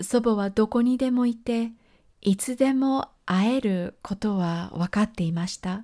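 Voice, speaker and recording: Here a woman speaks at a fairly high pitch. Her tone is dark and mellow. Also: very clean recording, silent background. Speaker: podcast host reading her journal. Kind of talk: reading aloud.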